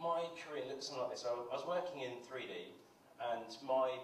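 Audible room echo surrounds a man speaking at a moderate pace. Light background noise runs underneath. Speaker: conference presenter. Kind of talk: conference talk. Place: stage.

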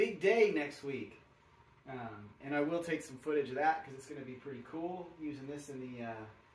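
This man's intonation is lively. His voice carries an audible echo from the room. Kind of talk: casual tutorial vlog. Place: garage. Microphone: camera far.

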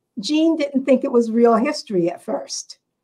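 Pitch swings very widely as a woman speaks in a somewhat breathy voice over a quiet background. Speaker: panelist. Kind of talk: interview answer. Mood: warm, reminiscing tribute. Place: office. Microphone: video call.

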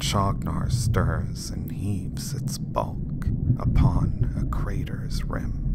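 Whispering at a very slow pace comes through over noticeable background noise. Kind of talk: poetry reading.

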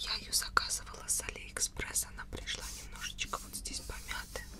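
A soft-spoken woman whispers at a moderate pace. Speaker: ASMR creator. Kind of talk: soft-spoken book show-and-tell. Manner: close soft ASMR whisper. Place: home room. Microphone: studio mic.

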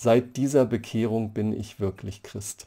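A man speaks at a very slow pace in a dark, mellow tone, his intonation fairly even against a quiet background. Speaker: church history professor. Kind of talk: lecture. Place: home room. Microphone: webcam.

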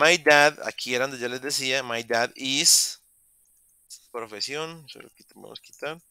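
Dry and close with no echo, a man's fairly high-pitched, bright, sharp voice moves at a fairly slow pace with long, frequent pauses, fairly even intonation and big swings in loudness. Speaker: English teacher. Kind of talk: online class lecture. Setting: video call.

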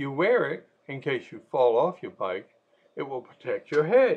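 A man speaks with a creaky vocal fry. His pitch swings very widely. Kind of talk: sermon. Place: home room. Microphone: webcam.

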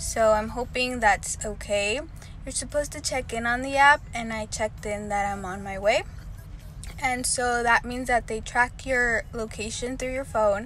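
With faint music in the background, a woman speaks at a moderate pace with fairly even intonation in a dry sound with no echo. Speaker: vlogger. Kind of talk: casual vlog chat. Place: car. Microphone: phone near.

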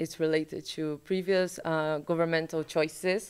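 On a very clean recording with a silent background, a woman with a Brazilian accent speaks at a moderate pace, her very deep, low pitch held in a monotone, flat intonation. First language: Portuguese. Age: 20s. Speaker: graduate student. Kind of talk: panel discussion. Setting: event hall with live audience.

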